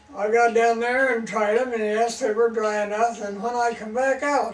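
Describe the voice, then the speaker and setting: Monotone, flat delivery at a moderate pace carries audible room echo and noticeable background noise. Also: man. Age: 80s+. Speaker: farmer. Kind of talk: storytelling.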